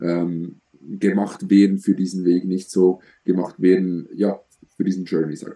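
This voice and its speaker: A man's very deep, low voice, dark and mellow, at a very slow pace. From Switzerland. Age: 20s. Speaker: bodybuilding coach and athlete. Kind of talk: podcast interview.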